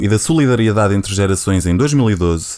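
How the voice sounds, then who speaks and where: This man's tone is dark and mellow. He talks at a fairly quick pace with lively intonation. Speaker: podcast co-host. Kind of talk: casual chat.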